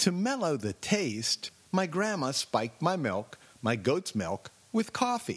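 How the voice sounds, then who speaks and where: The delivery is fairly slow, with a solemn, theatrical tone. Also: man. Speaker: audio essayist. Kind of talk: dramatic narration; scripted personal essay narration. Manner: mock-solemn, exaggerated, theatrical.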